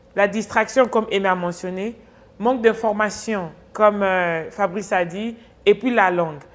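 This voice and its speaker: A woman speaks slowly-ish, at a fairly slow pace, with medium pitch, fairly even intonation and an unremarkable speaking voice, on a very clean recording with a silent background. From Congo, grew up in the US. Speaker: talk show host. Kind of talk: interview.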